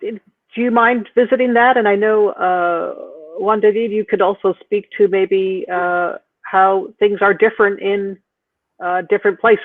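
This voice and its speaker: The pace here is fairly slow. The speaker has an American accent. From US East Coast. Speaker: panel moderator. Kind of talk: panel discussion. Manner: halting.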